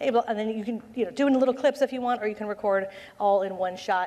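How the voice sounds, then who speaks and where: Very fast and animated, a woman talks with ordinary pitch variation. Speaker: conference speaker, social media consultant. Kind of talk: conference presentation. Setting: stage with audience.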